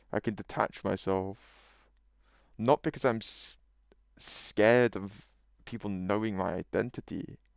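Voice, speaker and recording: A man with a British accent and a fairly low pitch, at a fairly slow pace with long, frequent pauses and ordinary pitch variation, in a very clean, dry, close recording with a silent background and no echo. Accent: British, noticeable. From UK. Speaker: YouTuber. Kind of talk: casual monologue. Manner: animated.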